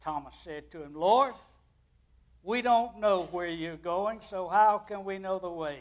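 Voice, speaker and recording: On a very clean recording with a silent background, a man speaks in a high voice. His pace is fairly slow, with ordinary pitch variation. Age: 80s+. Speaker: guest preacher. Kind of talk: sermon. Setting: church.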